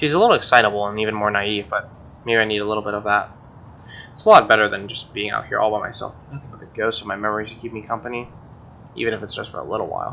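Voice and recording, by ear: A man's very fast delivery, fairly low in pitch, with vocal fry, a bright, sharp tone and ordinary pitch variation.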